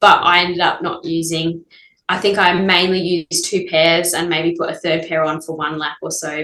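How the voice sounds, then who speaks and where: Speaking at a moderate pace, a woman keeps her intonation fairly even and her pitch fairly low. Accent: Australian. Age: 30s. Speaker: ultramarathon runner. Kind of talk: casual interview.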